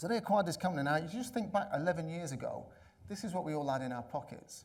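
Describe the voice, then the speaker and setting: With an English accent, a high-pitched man talks at a very fast pace with lively intonation, and audible room echo surrounds his voice. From England. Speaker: conference speaker, analytics consultant. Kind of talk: conference talk. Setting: stage with audience.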